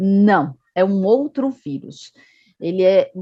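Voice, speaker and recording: A woman's medium-pitched voice with lively intonation and a Bahian accent. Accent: Northeastern Brazilian (Bahia). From Northeast Brazil, Salvador. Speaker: medical education manager at a vaccine company. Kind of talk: online health talk.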